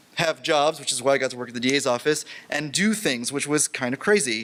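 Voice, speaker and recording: A man talks at a fairly quick pace. His tone is animated. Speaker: conference lightning talk speaker. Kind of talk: lightning talk. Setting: stage with audience. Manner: fast; casual, animated.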